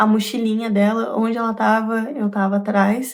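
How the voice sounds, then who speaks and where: Speaking at a moderate pace, a woman keeps a fairly high pitch with monotone, flat intonation. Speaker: vlogger. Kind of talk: casual vlog monologue. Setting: at home.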